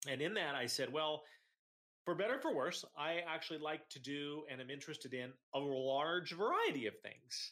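With an American accent, a man talks at a fairly high pitch in a bright, sharp tone. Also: ordinary pitch variation, moderate pace. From Iowa. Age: 40s. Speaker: entrepreneur. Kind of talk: casual interview.

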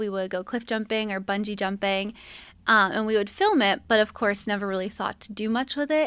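Speaking at a fairly quick pace with a plain, everyday voice, a woman with an American accent and a fairly high pitch uses ordinary pitch variation on a very clean recording with a silent background. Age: 20s. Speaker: travel vlogger. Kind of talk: casual interview chat.

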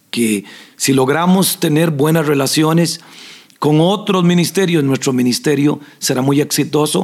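A man has a normal speaking voice with fairly high pitch and lively intonation. He talks at a fairly slow pace and at a very even loudness. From Costa Rica, southern zone. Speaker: pastor and podcast host. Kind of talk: Q&A with spiritual advice.

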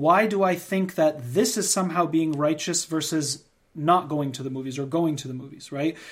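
A man with an American accent speaks at a moderate pace in a fairly high voice, with ordinary pitch variation and big swings in loudness, on a very clean recording with a silent background. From United States. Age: 30s. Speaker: podcast host and consultant, former teacher. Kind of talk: casual chat.

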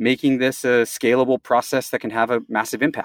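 A man with a plain, everyday voice at medium pitch and moderate pace, in a very clean recording with a silent background and dry, close sound with no echo. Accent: American. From US Southeast. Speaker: startup co-founder, chemical engineer. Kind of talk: interview.

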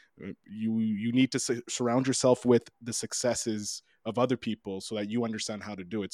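Recorded dry and close with no echo, a man with a plain, everyday voice speaks at a fairly quick pace. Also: very clean recording, silent background. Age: 30s. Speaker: podcast producer. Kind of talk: interview.

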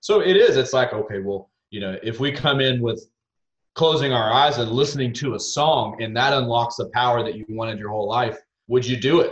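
A somewhat breathy man with a Texas accent talks with ordinary pitch variation. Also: medium pitch for a man, fairly quick pace. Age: 30s. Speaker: country singer. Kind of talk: casual interview chat.

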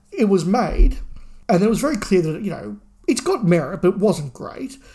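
Fairly quick and with lively intonation, a man with an Australian accent speaks in a high-pitched voice with a dark, mellow tone. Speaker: podcast co-host. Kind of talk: casual chat.

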